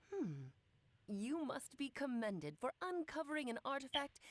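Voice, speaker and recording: A female-sounding voice does a put-on character voice, pitched high for a woman and moving at a fairly quick pace. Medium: video game. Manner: theatrical, coy.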